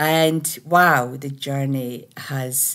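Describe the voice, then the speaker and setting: A woman with a Scottish accent, quiet background. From Scotland. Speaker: spiritual teacher and meditation creator; meditation teacher. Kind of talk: casual monologue. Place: home room. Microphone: webcam.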